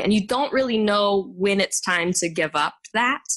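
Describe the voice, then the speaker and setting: With an American accent, a woman uses a normal speaking voice at medium pitch, moving at a moderate pace with ordinary pitch variation. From Texas, Garland suburb of Dallas. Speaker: Broadway singer and actress. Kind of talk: interview.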